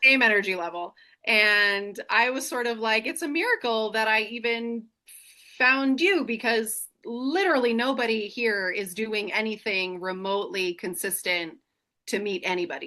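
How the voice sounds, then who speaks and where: Against a quiet background, a woman with an American accent speaks loud at a moderate pace in a bright, sharp tone. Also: fairly high pitch for a woman, ordinary pitch variation. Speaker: single mother sharing her life story. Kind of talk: casual chat. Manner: animated.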